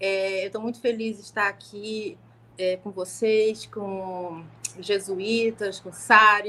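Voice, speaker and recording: A woman speaks at a very slow pace. Her fairly high voice keeps a fairly even intonation. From Brazil, Niterói, Rio de Janeiro state. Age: 50s. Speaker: law professor. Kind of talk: panel talk on a live stream.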